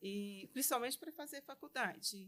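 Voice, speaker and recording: A woman talks in a bright, sharp tone with ordinary pitch variation. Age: 60s. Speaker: lawyer and business association vice-president. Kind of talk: interview.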